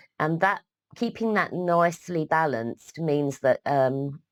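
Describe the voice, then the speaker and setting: A woman's very deep, low voice with a British accent, lively intonation and a very slow pace, dry and close with no echo, on a very clean recording with a silent background. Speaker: midwifery educator. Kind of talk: lecture. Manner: halting, many fillers.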